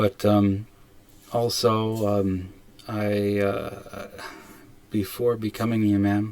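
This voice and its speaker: A man with an American accent speaks very slowly at a fairly low pitch, his intonation monotone and flat, with long, frequent pauses. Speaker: imam. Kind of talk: casual talk to camera. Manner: hesitant, many fillers and restarts; stumbles over words.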